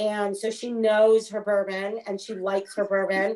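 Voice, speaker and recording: Speaking at a fairly slow pace, a woman of medium pitch talks with a Canadian accent. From Canada, Alberta. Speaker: actress. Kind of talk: interview, casual chat.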